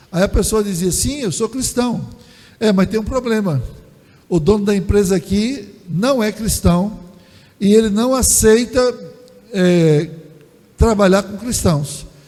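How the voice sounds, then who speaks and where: With noticeable background noise behind him, a man speaks at a very slow pace and a high pitch. He shows ordinary pitch variation and takes long, frequent pauses. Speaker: pastor. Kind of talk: sermon. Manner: halting, with filler repetitions.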